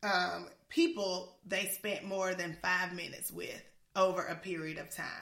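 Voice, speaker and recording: A woman at a fairly slow pace, with big swings in loudness. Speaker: podcast co-host and education leadership trainer. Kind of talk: casual chat. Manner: animated.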